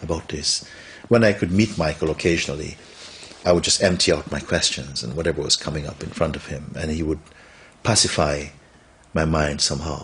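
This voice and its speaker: The speaker moves at a fairly quick pace with ordinary pitch variation, broken up by long, frequent pauses. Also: man, very deep, low pitch for a man. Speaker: spiritual teacher. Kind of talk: interview answer. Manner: soft-spoken.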